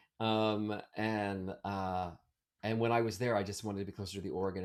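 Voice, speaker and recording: A man speaks at a moderate pace with an American accent. His pitch is fairly low. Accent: Baltimore accent largely eliminated. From Maryland, US (Baltimore area, Ellicott City). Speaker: Broadway actor and singer. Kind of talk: casual interview chat. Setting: video call. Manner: hesitant, many fillers and restarts.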